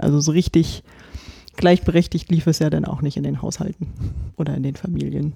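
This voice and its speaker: Speaking at a fairly quick pace, a woman has a very deep, low pitch and a dark, mellow tone. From Brandenburg, eastern Germany. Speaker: podcast co-host. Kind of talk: casual chat.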